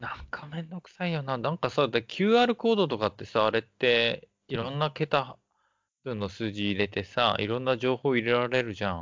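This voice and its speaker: At a moderate pace, a man with an ordinary speaking voice and a medium pitch talks with lively intonation and big swings in loudness. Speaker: podcast co-host. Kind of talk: casual chat. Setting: online call. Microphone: packet loss on the line.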